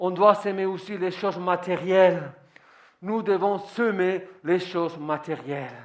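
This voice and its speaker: With a non-native accent and a high pitch, a man speaks at a fairly slow pace amid audible room echo. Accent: foreign accent in French. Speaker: pastor. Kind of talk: sermon.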